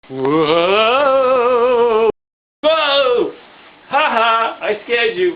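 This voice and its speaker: A cartoonish character voice with a fairly high pitch delivers its lines at a very slow pace. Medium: puppet. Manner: playful.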